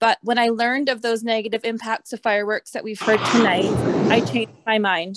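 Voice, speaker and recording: Speaking fairly quickly in an ordinary speaking voice with a Canadian accent, the voice has a dry, close sound with no echo. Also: woman. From Canada, North Vancouver. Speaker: resident speaker. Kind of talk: public comment. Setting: video call.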